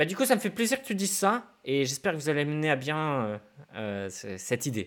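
A man's fairly high voice with very wide pitch swings, at a fairly quick pace. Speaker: podcast host. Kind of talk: casual interview.

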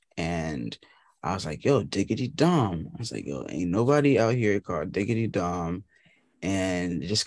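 Against a quiet background, a man with an American accent and a very deep, low voice with vocal fry speaks at a moderate pace with very wide pitch swings. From Boston. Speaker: indie musician. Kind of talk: interview.

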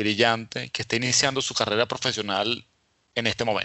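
Here is a plain, everyday voice at a moderate pace. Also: man. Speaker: podcast host. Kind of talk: casual interview.

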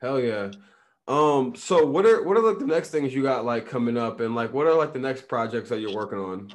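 In a plain, everyday voice, the speaker moves at a fairly quick pace with lively intonation. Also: man, medium pitch for a man. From Illinois. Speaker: podcast host. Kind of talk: casual chat.

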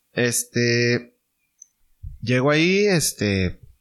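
A man's voice at a medium pitch. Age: 30s. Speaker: small business owner. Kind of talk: casual interview chat.

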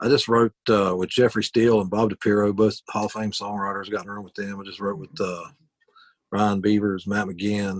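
A man with an Appalachian accent, fairly low in pitch, monotone and flat, at a moderate pace with big swings in loudness. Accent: Appalachian Southern US. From West Virginia. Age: 40s. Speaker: country musician. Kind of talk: casual interview chat.

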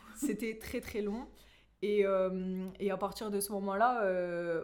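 A woman's voice with fairly even intonation, set against noticeable background noise. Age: 20s. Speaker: middle school teacher. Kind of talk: testimony. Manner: halting.

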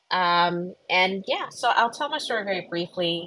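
A woman with an ordinary speaking voice and an American accent, fairly low in pitch, at a fairly slow pace with ordinary pitch variation. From US, Philadelphia. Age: 30s. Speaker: career coach, former therapist. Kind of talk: personal testimony. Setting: live online audio room.

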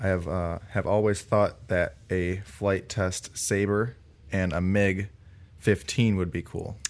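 Using an ordinary speaking voice, a man with an American accent talks fairly slowly at a fairly low pitch with fairly even intonation. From Cleveland, Ohio, US. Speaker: drone technician. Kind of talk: casual chat.

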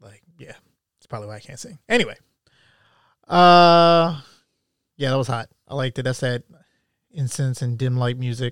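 A man's medium-pitched voice at a moderate pace, with ordinary pitch variation, long, frequent pauses and big swings in loudness, in a dry, close sound with no echo and a very clean recording with a silent background. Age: 30s. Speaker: podcast host. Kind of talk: casual monologue.

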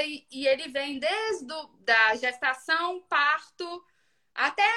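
A woman's raised, projected voice has a bright, sharp tone and very wide pitch swings. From Brazil, Minas Gerais (Ipatinga). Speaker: mother sharing baby feeding experience. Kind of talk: casual chat.

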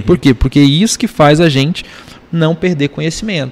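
Noticeable background noise behind a man talking, his pitch varying in an ordinary way. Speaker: entrepreneur and investor. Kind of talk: casual chat.

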